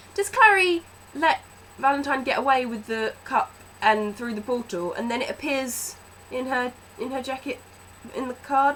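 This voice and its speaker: Loud and high-pitched, a woman speaks with very wide pitch swings over noticeable background noise. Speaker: book vlogger. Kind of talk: movie review vlog. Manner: animated.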